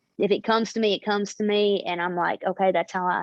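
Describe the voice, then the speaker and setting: A woman with a Southern US accent speaks at a fairly quick pace. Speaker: singer-songwriter. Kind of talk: interview.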